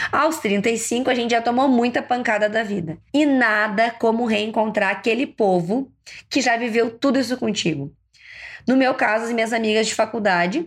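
On a very clean recording with a silent background, a woman with a fairly high pitch speaks in a normal speaking voice at a moderate pace, with ordinary pitch variation. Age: 30s. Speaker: podcast host and ENT doctor. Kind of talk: casual monologue.

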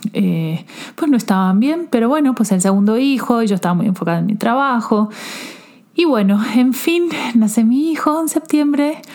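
With lively intonation and a fairly high pitch, a woman speaks at a moderate pace over noticeable background noise. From Argentina. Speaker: self-love coach and podcast host. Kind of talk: personal testimony. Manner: halting.

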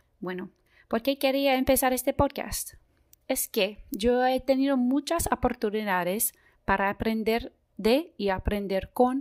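A woman with an American accent on a very clean recording, silent background. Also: dry, close sound with no echo. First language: English (speaking Spanish). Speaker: medical student, podcast host. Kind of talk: scripted podcast introduction.

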